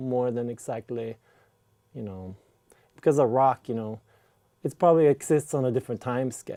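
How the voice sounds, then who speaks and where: A man with a dark, mellow tone and medium pitch talks at a moderate pace with ordinary pitch variation and big swings in loudness. The recording is very clean and silent behind him, with a dry, close sound with no echo. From Norway. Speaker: teacher. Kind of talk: casual chat. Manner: halting.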